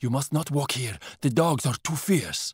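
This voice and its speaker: A man does a put-on character voice, growling at a fairly high pitch and a moderate pace. The recording is very clean, with a silent background. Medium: read story. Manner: grim, terse.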